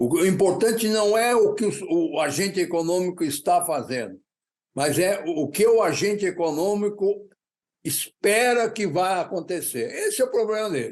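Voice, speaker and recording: The pitch of this man's voice sits high. He speaks with lively intonation. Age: 80s+. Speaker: economist. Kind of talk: interview. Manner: halting.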